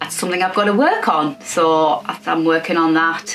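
A fairly low-pitched female voice with an English accent, ordinary pitch variation, a fairly slow pace, and light background noise. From England. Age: 50s. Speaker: sewing YouTuber. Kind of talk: personal vlog update. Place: home room.

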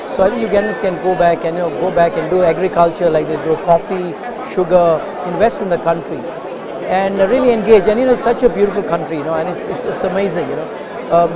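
Very fast speech over loud background noise, with a dry sound and no echo. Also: man. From Uganda. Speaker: convention attendee. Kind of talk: interview. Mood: warm, enthusiastic. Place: hall. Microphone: lapel.

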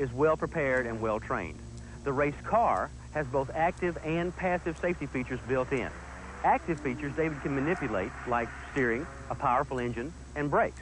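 Here is a man with a normal speaking voice and a fairly high pitch. He moves at a fairly quick pace with ordinary pitch variation. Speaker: driving instructor. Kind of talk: 1980s corporate training film narration. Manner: formal; earnest, measured and instructional.

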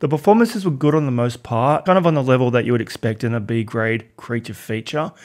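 With hardly any pauses, the speaker rushes along at a very fast pace in an Australian accent, with lively intonation over a quiet background. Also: man. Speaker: film reviewer. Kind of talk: casual video review monologue. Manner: animated. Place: home room. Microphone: studio mic.

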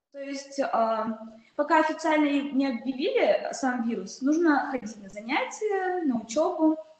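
A woman's high-pitched voice at a fairly slow pace, with big swings in loudness and audible room echo. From Tajikistan. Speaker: panelist. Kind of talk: panel discussion. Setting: video call. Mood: calm, concerned. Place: office. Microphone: video call.

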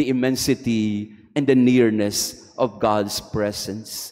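A man is speaking. Music plays in the background. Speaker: priest. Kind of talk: sermon. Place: church. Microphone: podium.

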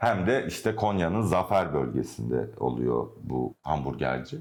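Using vocal fry, a man talks at a fairly slow pace with very wide pitch swings. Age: 30s. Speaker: architect. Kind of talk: interview. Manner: hesitant, with fillers.

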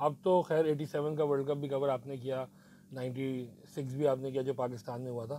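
With a dark, mellow tone, a man speaks at a moderate pace and fairly even intonation, the sound dry with no echo and light noise in the background. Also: medium pitch for a man. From Pakistan. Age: 40s. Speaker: podcast host. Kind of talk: casual cricket analysis. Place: studio. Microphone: lapel.

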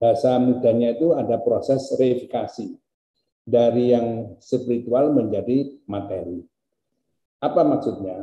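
With audible room echo, a man talks at a fairly slow pace in a medium pitch, his tone dark and mellow, his pitch variation ordinary. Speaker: university rector. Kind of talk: formal speech. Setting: video call. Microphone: video call.

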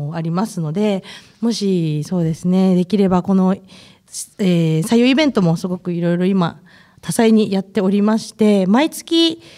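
A woman speaks at a moderate pace with a dark, mellow tone. Her pitch sits in the medium range and varies in an ordinary way. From Akita, Kita-Akita. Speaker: recruiter and guest MC, former reporter. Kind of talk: casual interview.

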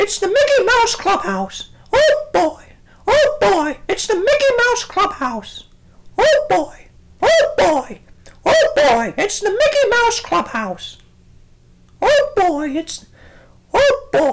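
In a cartoonish character voice, the speaker talks very slowly at an extremely high pitch, with long, frequent pauses. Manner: upbeat, excited.

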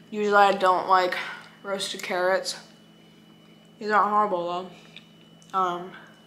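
A woman's medium-pitched voice, flat and monotone, with long, frequent pauses, audible room echo and noticeable background noise. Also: moderate pace. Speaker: vlogger. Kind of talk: casual vlog talk.

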